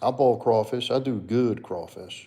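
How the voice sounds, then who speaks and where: A man speaks very slowly with a New Orleans accent. His medium-pitched voice has a dark, mellow tone. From US South, New Orleans. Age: 30s. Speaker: livestreamer and fitness coach. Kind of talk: casual chat. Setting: live stream.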